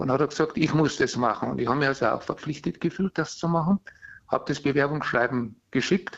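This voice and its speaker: A very fast pace with ordinary pitch variation. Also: man, fairly high pitch for a man. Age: 70s. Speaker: caller. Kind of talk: call-in. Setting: phone call. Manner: halting.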